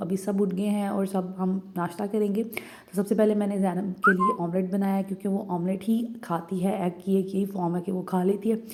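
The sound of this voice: A woman talks at a moderate pace with few pauses. Her medium pitch shows little movement.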